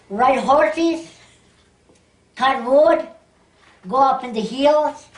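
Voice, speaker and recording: The speaker goes at a very slow pace with ordinary pitch variation, and audible room echo surrounds the voice. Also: woman, high pitch for a woman. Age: 90s. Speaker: oral history interviewee. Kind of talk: oral history interview. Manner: halting.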